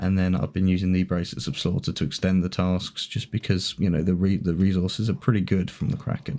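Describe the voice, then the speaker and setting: A man's dark, mellow tone unfolds at a moderate pace. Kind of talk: gaming commentary narration. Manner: casual, hesitant.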